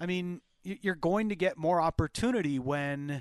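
A man talks at a fairly high pitch and fairly slow pace with lively intonation, in a dry, close sound with no echo. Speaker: hockey broadcast analyst. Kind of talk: excited play-by-play analysis over a goal replay. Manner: animated, gleeful, voices the player's taunt.

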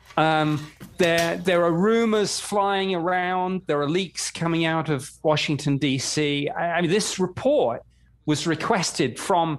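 On a very clean recording with a silent background, a man with a British accent speaks fairly slowly in a high voice with ordinary pitch variation. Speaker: former government UFO investigator. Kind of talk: interview.

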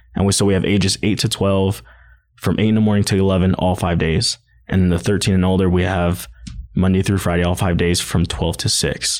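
On a very clean recording with a silent background, a man talks at a fairly quick pace in a very deep, low pitch with very even loudness. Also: fairly even intonation. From Hawaii. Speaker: hip-hop dancer and studio owner. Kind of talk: casual interview chat. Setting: studio.

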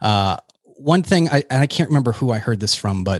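A man speaks fairly quickly with an American accent, in a normal speaking voice with ordinary pitch variation. The sound is dry and close with no echo, over a quiet background. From New Hampshire, US. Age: 40s. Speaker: air force veteran and physician assistant. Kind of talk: casual interview chat.

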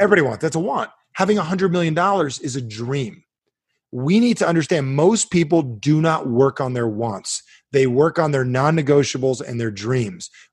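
A man with an American accent talks at a fairly high pitch and a fairly quick pace, his somewhat breathy voice carrying an animated tone and lively intonation in a very clean recording with a silent background. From New Jersey. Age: 40s. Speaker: self-help author. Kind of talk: interview guest, coaching talk.

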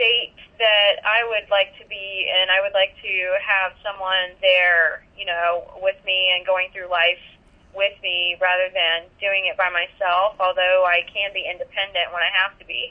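Fairly slow speech from a woman at a medium pitch. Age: 30s. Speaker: listener getting a consultation. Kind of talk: consultation conversation. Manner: halting.

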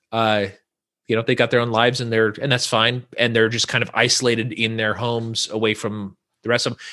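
Over a quiet background, a man talks at a very fast pace in an American accent. His tone is bright and sharp. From California, Central Valley. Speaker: podcaster, community organizer. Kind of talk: casual chat.

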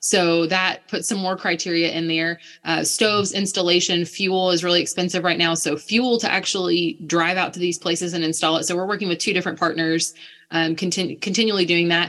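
A woman with an American accent speaks at a fairly quick pace in a bright, sharp tone, her intonation monotone and flat. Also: fairly low pitch for a woman. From United States. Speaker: missionary. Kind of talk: interview conversation.

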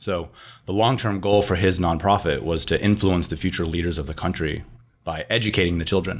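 A man with an American accent speaks at a fairly quick pace in a very deep, low pitch with ordinary pitch variation. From Miami, Florida. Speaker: rum brand founder. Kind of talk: casual interview. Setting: hotel room used as remote studio.

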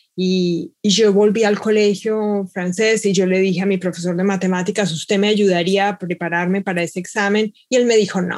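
Her intonation is monotone and flat. The woman speaks at a medium pitch and a fairly quick pace. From Colombia, Bogotá. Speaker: mathematics professor. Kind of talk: panel discussion.

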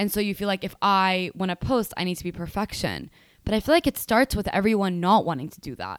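Very fast woman's voice at medium pitch, ordinary pitch variation and big swings in loudness, in a very clean recording with a silent background and dry, close sound with no echo. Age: 20s. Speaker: podcast host. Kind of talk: solo podcast monologue. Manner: casual, many fillers.

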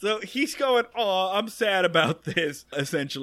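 The speaker is reading aloud in a natural voice, with lively intonation.

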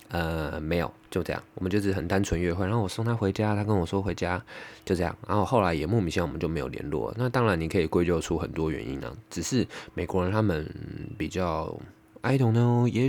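On a very clean recording with a silent background, a man speaks with lively intonation in a very deep, low pitch. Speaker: podcaster. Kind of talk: casual monologue.

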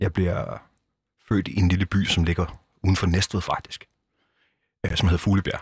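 A man's somewhat breathy, very deep, low voice, dry and close with no echo. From southern Zealand, Denmark. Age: 30s. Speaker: former biker gang member, nonprofit director. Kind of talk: interview. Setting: studio.

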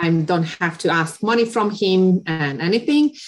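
Speaking fairly slowly with a Hungarian accent, a woman has a fairly low pitch. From Hungary. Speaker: photographer. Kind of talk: interview. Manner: halting.

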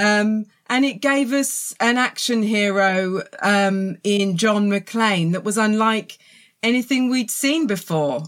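Speaking very slowly in a southern English accent, a woman keeps a very even loudness and ordinary pitch variation. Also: very clean recording, silent background. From southern England. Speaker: author and film journalist. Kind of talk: casual interview chat.

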